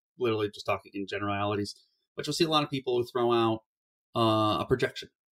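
With an American accent, a man has an unremarkable speaking voice at a medium pitch with ordinary pitch variation. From Ohio, Cleveland. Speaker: baseball analytics writer. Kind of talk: casual chat.

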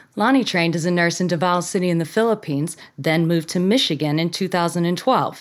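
This woman has an ordinary speaking voice at medium pitch. Her pace is fairly quick. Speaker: guest podcast host. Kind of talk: interview.

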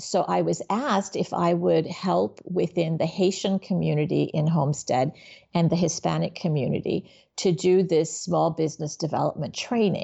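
A woman with vocal fry speaks at a moderate pace in a fairly low pitch, her loudness very even and her pitch varying in an ordinary way. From Miami, Florida (born in Haiti). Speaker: business nonprofit executive and coach. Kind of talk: interview conversation.

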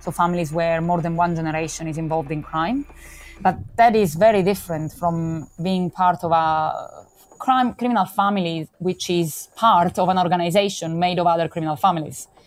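A woman with an Italian accent speaks at a moderate pace. Her voice is fairly low, with ordinary pitch variation. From Calabria, southern Italy. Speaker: criminology author and researcher. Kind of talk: interview.

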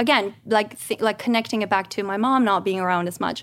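A Spanish accent marks this speech. The background is silent on a very clean recording. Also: woman. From Guatemala. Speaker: stay-at-home mom and actress. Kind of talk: casual chat. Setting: studio.

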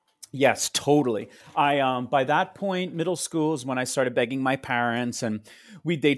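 A plain, everyday voice from a man with an American accent, fairly high in pitch with ordinary pitch variation, at a fairly quick pace. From US Northeast, Long Island, New York. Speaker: Broadway actor and singer. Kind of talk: casual interview chat.

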